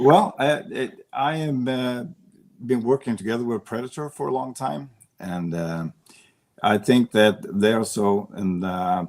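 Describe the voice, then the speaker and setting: Over a silent background in a very clean recording, a man with a Swedish accent speaks at a medium pitch with lively intonation. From Sweden. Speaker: para pool player. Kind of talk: interview.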